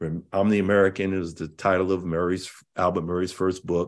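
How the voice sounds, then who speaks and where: A man with an ordinary speaking voice talks at a moderate pace and a fairly low pitch. The background is quiet. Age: 50s. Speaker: cultural analyst and educator. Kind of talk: casual chat.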